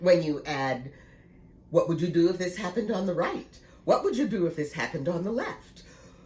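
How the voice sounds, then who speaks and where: A somewhat breathy woman's voice, fairly low in pitch, with lively intonation at a fairly quick pace. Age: 60s. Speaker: knitting vlogger. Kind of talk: casual vlog talk. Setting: at home.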